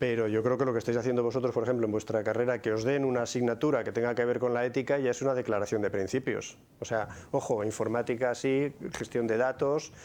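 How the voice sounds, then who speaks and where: A man at medium pitch, with monotone, flat intonation, very even loudness and a fairly quick pace. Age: 60s. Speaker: conference speaker. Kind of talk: Q&A after a talk. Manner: repetitive, halting starts.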